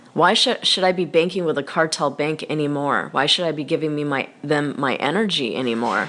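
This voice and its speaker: Using hardly any pauses, a woman with a very deep, low pitch talks at a fairly quick pace. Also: ordinary pitch variation. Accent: American. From United States. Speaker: online financial activist / vlogger. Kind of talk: casual video monologue.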